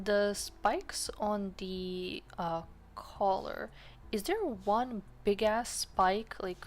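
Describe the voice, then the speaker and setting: Speaking very slowly, a woman talks with a slight Serbian accent. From Serbia (Balkans). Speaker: art streamer. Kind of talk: casual chat. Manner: animated.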